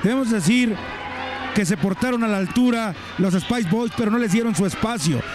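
A man's high-pitched voice amid noticeable background noise. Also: dry sound with no echo. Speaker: wrestling commentator. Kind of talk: live wrestling commentary.

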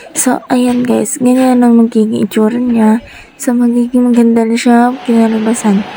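A woman's high-pitched voice at a moderate pace, monotone and flat in intonation, with very even loudness over noticeable background noise. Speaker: vlogger. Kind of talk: voice-over narration.

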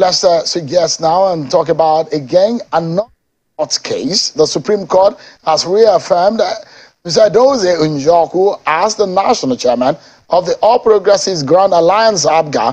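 Here a man speaks with a Nigerian accent in a high pitch. His pace is moderate, and the background is quiet. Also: ordinary pitch variation. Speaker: TV news anchor. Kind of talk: political interview show. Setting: TV studio. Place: studio. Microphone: lapel.

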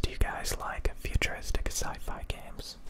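The man is whispering as he speaks. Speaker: ASMR creator. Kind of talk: ASMR whisper ramble showing handheld game consoles and games. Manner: whispered, slow, soft-spoken. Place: home room. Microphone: studio mic.

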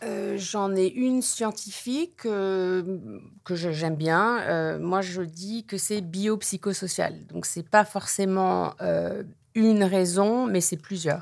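A woman's medium-pitched voice at a very slow pace, on a very clean recording with a silent background. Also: ordinary pitch variation. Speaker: addiction therapist. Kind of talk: interview. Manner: halting.

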